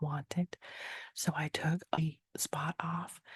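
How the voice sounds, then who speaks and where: The voice is whispering. It is soft-spoken. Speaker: painter and artist. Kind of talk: ASMR soft-talking voiceover. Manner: soft-spoken, whispered.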